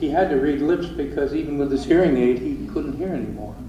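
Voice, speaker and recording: With an American accent, a man speaks at a moderate pace amid noticeable background noise and audible room echo. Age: 80s+. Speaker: eulogist, brother of the deceased. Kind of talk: eulogy. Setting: church memorial service. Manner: casual, conversational. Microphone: poor pocket voice recorder.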